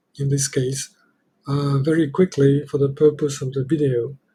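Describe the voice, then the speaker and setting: A man speaks at a moderate pace in a somewhat breathy voice with fairly even intonation. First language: not English. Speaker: software developer demonstrating own app. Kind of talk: software demo tutorial. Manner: halting, many fillers.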